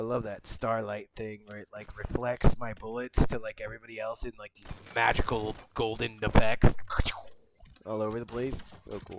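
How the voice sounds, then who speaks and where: Over noticeable background noise, a man at medium pitch speaks in a monotone, flat intonation while his loudness swings widely. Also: moderate pace. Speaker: gaming YouTuber. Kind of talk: gameplay commentary. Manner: casual. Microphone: poor-quality mic.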